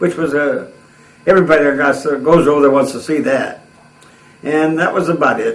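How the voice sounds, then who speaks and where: There is audible room echo and noticeable background noise. A man with an American accent talks at a very fast pace. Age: 80s+. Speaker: war veteran. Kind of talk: oral history interview. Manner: halting.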